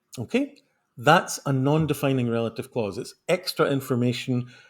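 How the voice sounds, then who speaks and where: A man with a Scottish accent speaks at a moderate pace with a fairly high pitch. His voice is somewhat breathy, and the recording is very clean with a silent background. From Scotland. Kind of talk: teacherly, explaining grammar.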